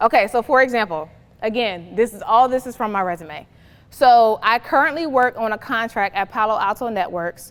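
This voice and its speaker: A woman speaks with an American accent at a fairly high pitch. Her intonation is lively. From New Jersey. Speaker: recruiter and career workshop presenter. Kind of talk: workshop presentation. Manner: fast.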